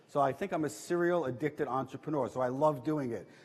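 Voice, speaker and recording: A man with a New York accent talks at a very fast pace. His pitch is fairly high and varies in an ordinary way. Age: 60s. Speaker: entrepreneur. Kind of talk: talk to audience. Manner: animated.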